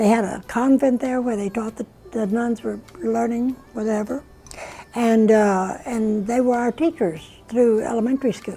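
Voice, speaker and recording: With music in the background, a woman with an American accent speaks at a moderate pace, fairly high in pitch and fairly even in intonation. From South Texas border and Monterrey, Mexico. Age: 80s+. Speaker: retired Spanish teacher. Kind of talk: interview storytelling.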